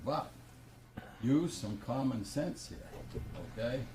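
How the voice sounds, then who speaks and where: Very slowly, a man speaks at medium pitch with ordinary pitch variation. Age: 80s+. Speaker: resident speaking at public comment. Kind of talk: heated debate. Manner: animated.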